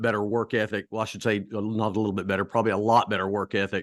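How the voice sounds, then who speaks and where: In a quiet setting, a man with a slight Southern US accent speaks very fast in a monotone, flat intonation. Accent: slight Southern twang. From US South (Charlotte, North Carolina). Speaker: track and field coach. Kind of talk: podcast interview. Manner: hesitant, many fillers.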